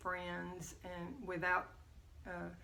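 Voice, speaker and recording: A woman with an American accent speaks at a fairly slow pace in a medium pitch. The recording carries audible room echo. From Texas. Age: 70s. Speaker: grandmother interviewed about her life. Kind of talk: family oral history interview.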